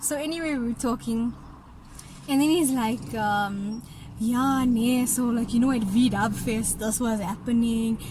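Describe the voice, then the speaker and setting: The speaker has a Durban accent and talks at a fairly slow pace. Pitch varies in an ordinary way, and audible room echo is present. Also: woman, fairly high pitch for a woman. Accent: Durban South African. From South Africa, Durban. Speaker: YouTuber telling a dating story. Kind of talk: casual storytime chat. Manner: animated.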